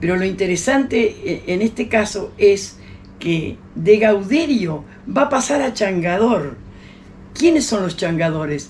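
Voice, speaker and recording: A woman speaks fairly slowly at a medium pitch, her pitch swinging very widely. Noticeable background noise sits behind her. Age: 80s+. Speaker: historian and teacher. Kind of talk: interview. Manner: halting.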